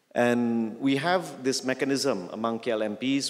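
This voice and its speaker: A man's medium-pitched voice, a normal speaking voice, with ordinary pitch variation. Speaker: member of parliament. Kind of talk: public speech.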